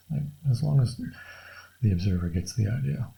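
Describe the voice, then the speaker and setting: A man's fairly low, somewhat breathy voice, with lively intonation and a relaxed tone. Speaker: artist drawing on camera. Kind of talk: casual drawing tutorial commentary. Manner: soft-spoken, mumbling quietly; relaxed, thinking aloud with fillers.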